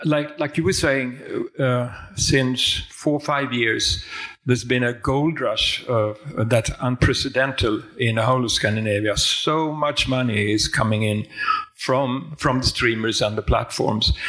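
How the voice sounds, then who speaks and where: Against noticeable background noise, a man with a Swedish accent speaks at a fairly slow pace. His medium pitch varies in an ordinary way, and his loudness stays very even. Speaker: film industry consultant. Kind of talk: panel discussion.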